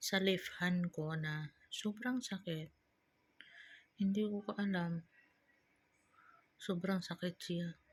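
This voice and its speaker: Long pauses come often in speech delivered at a very slow pace. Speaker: vlogger. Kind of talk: personal vlog.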